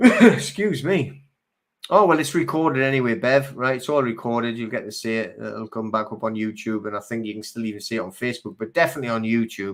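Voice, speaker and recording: A man with a Geordie accent speaks very fast at medium pitch. His pitch variation is ordinary, but his loudness swings a lot. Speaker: live stream host. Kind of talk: live stream chat reading viewer comments. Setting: live video stream. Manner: casual, halting with fillers.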